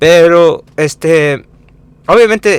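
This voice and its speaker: A man's voice with a non-native accent and ordinary pitch variation. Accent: non-native Spanish, self-described. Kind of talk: informal Bible teaching with scripture reading. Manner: halting, many fillers and self-corrections.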